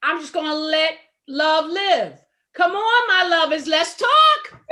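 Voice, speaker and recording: A woman's raised, projected voice at an extremely high pitch, bright and sharp in tone, very slow in pace, with ordinary pitch variation and big swings in loudness. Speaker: talk radio host. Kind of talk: casual panel discussion. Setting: internet talk radio.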